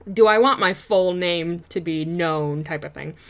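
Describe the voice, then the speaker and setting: A woman talks with a Michigan accent. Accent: US Midwest (Michigan). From Michigan, US. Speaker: YouTuber, game builder. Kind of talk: casual chat over gameplay. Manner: rambling, hesitant with fillers.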